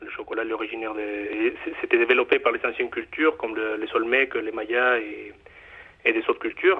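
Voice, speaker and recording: A man speaks at a fairly quick pace with a Mexican accent. His loudness swings widely. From Mexico. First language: Spanish (speaking French). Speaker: chocolate bar owner. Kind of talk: interview. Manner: halting, many fillers.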